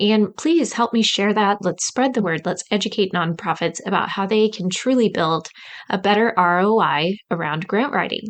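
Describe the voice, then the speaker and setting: A woman's medium-pitched voice at very even loudness over a quiet background. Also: ordinary pitch variation, moderate pace. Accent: Midwestern. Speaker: podcast host, grant writing coach. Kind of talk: podcast intro monologue.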